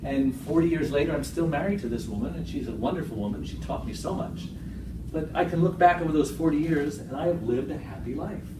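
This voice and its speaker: A man's fairly high, very fast voice with ordinary pitch variation, amid noticeable background noise and audible room echo. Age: 60s. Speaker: motivational speaker. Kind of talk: public speech. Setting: stage with audience. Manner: animated.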